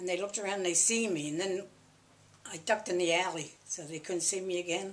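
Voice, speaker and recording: A woman with a Philadelphia accent talks at a fairly quick pace in a medium pitch with fairly even intonation, with audible room echo and noticeable background noise. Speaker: interviewee, family elder. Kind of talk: oral history interview. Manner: conversational, halting.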